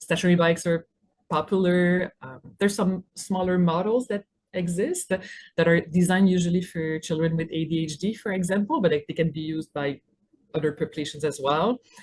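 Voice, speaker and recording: A woman talks at a fairly quick pace in a Quebec accent. Her voice is somewhat breathy. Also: fairly low pitch for a woman, fairly even intonation. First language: French. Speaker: physiotherapist. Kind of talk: webinar presentation. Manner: hesitant with fillers.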